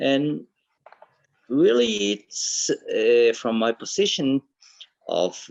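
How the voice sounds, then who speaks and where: A man talks at a very slow pace. He has a Latin American accent. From Ecuador. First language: Spanish. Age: 50s. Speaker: mechanical engineer and association ambassador. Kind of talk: formal speech at online meeting.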